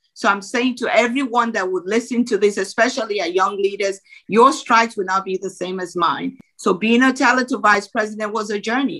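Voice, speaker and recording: Speaking with a Nigerian accent, a woman talks at a fairly quick pace with a bright, sharp tone. Her pitch sits fairly high, with ordinary variation. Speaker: former bank executive and business coach. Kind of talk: motivational interview talk.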